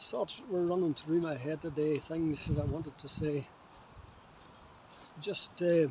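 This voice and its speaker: In a Northern Irish accent, the speaker talks at a fairly slow pace with long, frequent pauses, a dark, mellow tone and ordinary pitch variation. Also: man, fairly high pitch for a man. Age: 70s. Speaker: vlogger. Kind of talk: casual monologue. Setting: outdoors on a beach. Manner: halting.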